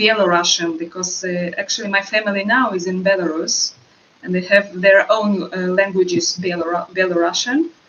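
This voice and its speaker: Against noticeable background noise, a woman with a Russian accent and a medium pitch speaks at a moderate pace. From Russia, moved to Israel. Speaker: actress. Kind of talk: interview. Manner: halting, many fillers.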